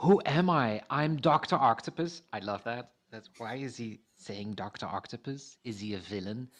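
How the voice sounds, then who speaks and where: A man speaks with a Dutch accent against a quiet background. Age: 50s. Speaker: founder of a thinking movement. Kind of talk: casual interview. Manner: animated, playful.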